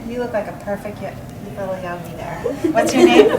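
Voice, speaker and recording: Recorded with audible room echo and noticeable background noise, a woman talks in a high voice. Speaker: therapist leading meditation. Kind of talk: guided meditation.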